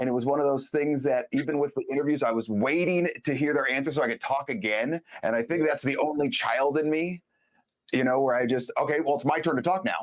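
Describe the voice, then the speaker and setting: A man talks at a fairly quick pace and fairly high pitch with an animated tone, ordinary pitch variation and very even loudness. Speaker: podcast host. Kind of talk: casual chat. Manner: fast.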